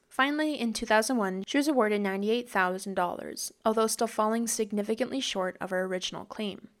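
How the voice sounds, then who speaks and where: A woman's plain, everyday voice with a Canadian accent, fairly high in pitch, at a fairly quick pace with ordinary pitch variation, on a very clean recording with a silent background. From small town, Canada. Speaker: true crime podcast co-host. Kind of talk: casual chat; scripted narration.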